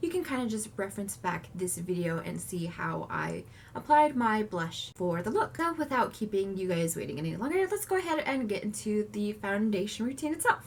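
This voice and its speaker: Noticeable background noise sits behind a woman who talks with hardly any pauses. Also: moderate pace. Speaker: makeup tutorial creator. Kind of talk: makeup tutorial talk to camera.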